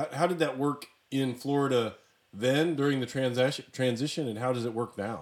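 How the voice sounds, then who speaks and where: With a plain, everyday voice, a man talks at a moderate pace and medium pitch, keeping his intonation fairly even. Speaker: podcast host. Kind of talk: casual interview chat.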